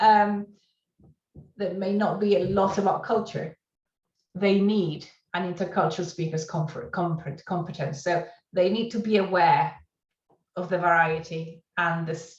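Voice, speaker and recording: At a moderate pace and medium pitch, a woman talks in a somewhat breathy, fairly even voice broken by long, frequent pauses. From Argentina. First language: Spanish. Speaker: university lecturer. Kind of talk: conference talk. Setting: conference presentation.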